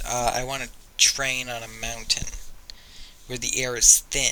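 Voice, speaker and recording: A man talks at a medium pitch. The intonation stays flat and monotone. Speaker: YouTuber. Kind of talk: casual vlog monologue. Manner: stuttering; halting, many fillers.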